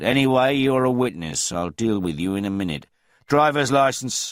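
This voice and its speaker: Doing a put-on character voice, a man uses lively intonation at medium pitch on a very clean recording with a silent background. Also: moderate pace. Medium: read story. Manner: dangerously soft, mocking.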